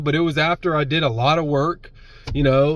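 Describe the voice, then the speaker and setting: A man speaks over noticeable background noise. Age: 30s. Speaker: sobriety vlogger. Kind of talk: casual monologue. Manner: animated.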